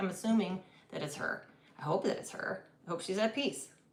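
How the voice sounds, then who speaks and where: A woman speaks at a very fast pace, with audible room echo and noticeable background noise around her. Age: 50s. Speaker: tarot reader and medium. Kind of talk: live-stream tarot reading. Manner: energetic.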